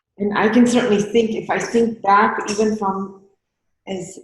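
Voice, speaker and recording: There is audible room echo around this woman's speech. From India, Gujarat. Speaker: meditation teacher. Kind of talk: interview.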